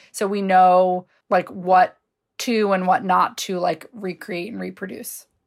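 A woman talks in a normal speaking voice at a medium pitch and a fairly slow pace, with fairly even intonation and big swings in loudness. The recording is very clean, with a silent background. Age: 30s. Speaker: labor organizer. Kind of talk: casual chat.

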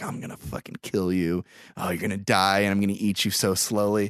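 Using a put-on character voice, a man delivers a menacing tone at a fairly low pitch, fairly quick, in a monotone, flat intonation. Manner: menacing, taunting.

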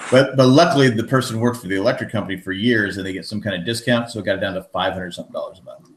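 Talking at a very fast pace with hardly any pauses, a man uses a medium pitch and ordinary pitch variation. Noticeable background noise runs underneath. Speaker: podcast host and amateur musician. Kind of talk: casual chat. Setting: remote recording with audio feedback.

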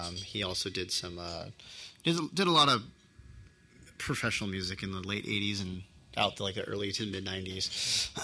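A man with an American accent talks at a moderate pace, leaving long, frequent pauses. His bright, sharp voice sits fairly low, with ordinary pitch variation. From US West Coast, Torrance, California. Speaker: drummer. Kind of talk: casual interview chat. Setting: studio.

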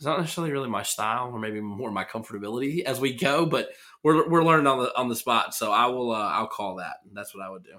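At a very fast pace, a man speaks in a bright, sharp tone at a medium pitch, with ordinary pitch variation and big swings in loudness, on a very clean recording with a silent background. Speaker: poker hand analyst. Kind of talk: casual chat.

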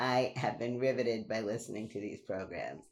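A woman's very deep, low voice in a New York accent, with ordinary pitch variation. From Brooklyn, New York. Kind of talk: casual interview chat.

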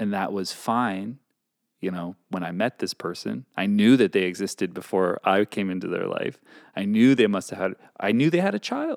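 Against a silent background in a very clean recording, this man has an unremarkable speaking voice, fairly low in pitch and varying in an ordinary way. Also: moderate pace. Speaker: podcast co-host. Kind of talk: casual banter, advice podcast. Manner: teasing, jokey.

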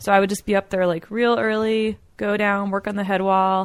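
A woman's medium-pitched, monotone, flat delivery at a fairly quick pace, on a very clean recording with a silent background. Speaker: rock climber and BASE jumper. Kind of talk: casual chat. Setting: at home. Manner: quiet.

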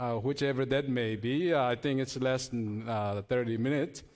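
A man with a non-native accent speaks at a fairly slow pace in a very clean recording with a silent background. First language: Chin language. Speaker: seminary student, guest preacher. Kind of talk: sermon. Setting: church pulpit. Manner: halting, many fillers.

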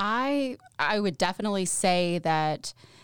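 A woman with an East Tennessee accent. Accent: East Tennessee Southern US. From Tennessee, Knoxville. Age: 30s. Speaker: mental health services director. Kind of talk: podcast interview.

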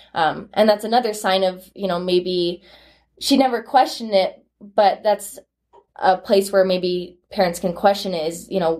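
Her medium pitch kept in fairly even intonation, a woman talks in an unremarkable speaking voice. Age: 20s. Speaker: former vaper, college student. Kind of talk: interview testimony.

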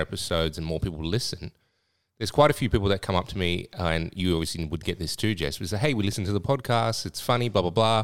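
A man with an Australian accent speaks at a very fast pace with a very deep, low pitch and lively intonation, in a very clean recording with a silent background. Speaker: podcast co-host and club owner. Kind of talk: casual chat.

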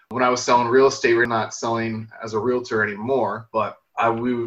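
At a moderate pace, a man talks at a medium pitch in a flat, monotone delivery. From Windsor, Ontario, Canada. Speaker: real estate investor. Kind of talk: interview.

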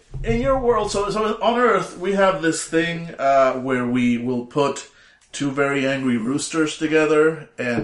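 A man speaks at a fairly slow pace in a normal speaking voice. His pitch is fairly high, and his intonation is lively. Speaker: tabletop game player.

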